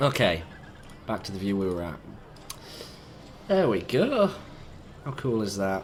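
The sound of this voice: Speaking at a fairly slow pace, a man with a croaky, fairly low voice makes big pitch swings.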